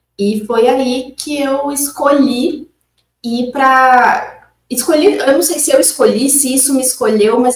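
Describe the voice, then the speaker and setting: A woman with a northeastern Brazilian accent speaks in a high pitch at a fairly slow pace. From Northeast Brazil, Maceió, Alagoas. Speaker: consciousness-tools facilitator. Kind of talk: interview.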